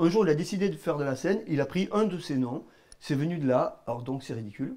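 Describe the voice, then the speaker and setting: A man with a southern French accent speaks at a fairly quick pace with lively intonation and a dark, mellow tone. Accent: southern French (Midi). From southern France, Gard (Cévennes). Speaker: musician and band manager. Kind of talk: interview. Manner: halting.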